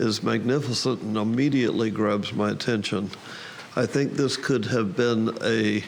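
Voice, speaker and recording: A man of medium pitch with a Southern US accent keeps his loudness very even and his intonation fairly even. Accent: Southern American. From US South. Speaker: photography contest judge. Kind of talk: critique of photographs. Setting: camera club meeting. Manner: slow; halting, repeats words.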